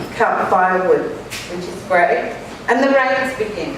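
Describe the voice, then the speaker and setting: A woman speaks at a fairly high pitch with an Australian accent. Audible room echo and noticeable background noise are present. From Australia (Sydney). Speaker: author and speaker. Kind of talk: conference talk. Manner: loud. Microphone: microphone held far away.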